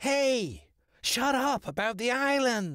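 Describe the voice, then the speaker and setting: A put-on character voice, fairly high and very slow, in a very clean recording with a silent background. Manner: scolding.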